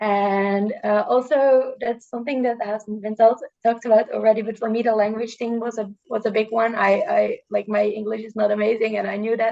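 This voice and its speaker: A dark, mellow tone with a Dutch accent, flat monotone intonation, a fairly quick pace and hardly any pauses. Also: woman, fairly high pitch for a woman. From Netherlands. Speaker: student, youth journalism alum. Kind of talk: casual talk on a video call. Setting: video call. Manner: halting, many repetitions and fillers.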